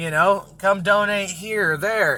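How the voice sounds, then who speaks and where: Projecting a raised voice, a man with a high pitch speaks at a moderate pace, his tone bright, sharp and animated, with ordinary pitch variation. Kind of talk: casual monologue rant. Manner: loud.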